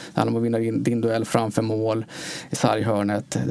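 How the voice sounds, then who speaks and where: A man talks at a fairly quick pace in a flat monotone. Background noise is noticeable. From Uddevalla area, Bohuslän, western Sweden. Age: 30s. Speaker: ice hockey sports director. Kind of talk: interview.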